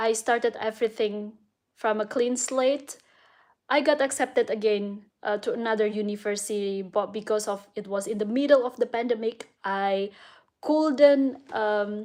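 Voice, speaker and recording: With an Indonesian accent, a woman speaks at a moderate pace in a fairly high pitch. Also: fairly even intonation, very clean recording, silent background. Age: 30s. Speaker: vlogger and illustrator. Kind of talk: casual vlog monologue. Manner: hesitant, many fillers.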